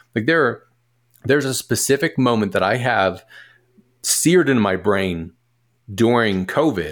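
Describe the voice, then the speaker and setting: Recorded very cleanly against a silent background, a man with an American accent talks at medium pitch in an unremarkable speaking voice. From US Northeast, Philadelphia. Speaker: musician and business partner. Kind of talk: casual chat.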